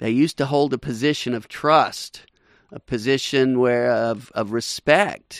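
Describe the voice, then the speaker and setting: This man has a normal speaking voice at a medium pitch with ordinary pitch variation, heard in a dry, close sound with no echo. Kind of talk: radio host patter. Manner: brisk, upbeat, promotional sign-off rhythm, repeating web address.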